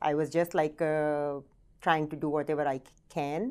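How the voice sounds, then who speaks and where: In a very clean recording with a silent background, a woman with an Indian accent speaks in a very deep, low voice with flat, monotone intonation. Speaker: real estate team leader. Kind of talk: interview. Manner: halting.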